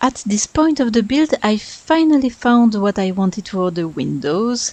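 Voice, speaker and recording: Very wide pitch swings from a woman at fairly high pitch, in a French accent. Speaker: gaming YouTuber. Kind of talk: voice-over commentary over speedbuild.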